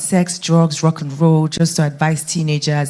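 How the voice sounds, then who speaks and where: Her voice is fairly low and somewhat breathy. The woman keeps a moderate pace. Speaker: radio broadcaster and media entrepreneur. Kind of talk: panel talk.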